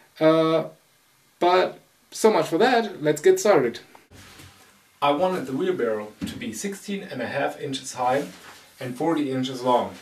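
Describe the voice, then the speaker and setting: A man's fairly high voice in a non-native accent, fairly slow with long, frequent pauses, very wide pitch swings and big swings in loudness. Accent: foreign. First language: not English. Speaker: hobby woodworker. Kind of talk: tutorial.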